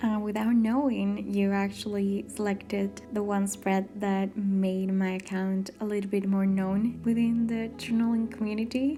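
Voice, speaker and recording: A woman with a Spanish accent at a fairly slow pace and medium pitch, her intonation monotone and flat, her loudness very even, hardly any pauses, and music in the background. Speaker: journaling video creator. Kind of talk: voiceover narration.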